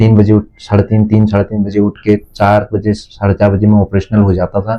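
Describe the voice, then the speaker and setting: At a moderate pace, a man speaks in a fairly low, monotone voice with flat intonation. His loudness stays very even. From Uttarakhand hills. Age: 30s. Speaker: businessman. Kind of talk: interview. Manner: halting.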